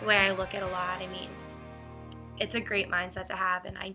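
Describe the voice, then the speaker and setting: Very fast and flat in a monotone, a woman at a medium pitch speaks over music in the background. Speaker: sister of a cystic fibrosis patient. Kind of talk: interview answer. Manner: hesitant, many filler words.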